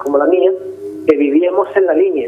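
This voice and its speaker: Against noticeable background noise, a man with a high pitch talks at a moderate pace with fairly even intonation. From Gibraltar. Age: 60s. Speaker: interviewee. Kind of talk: interview. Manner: halting.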